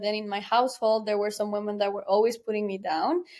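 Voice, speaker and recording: Fairly high-pitched speech from a woman with a Spanish accent, fairly even in intonation, on a very clean recording with a silent background. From Guatemala. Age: 20s. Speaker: tech entrepreneur. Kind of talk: podcast interview. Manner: halting.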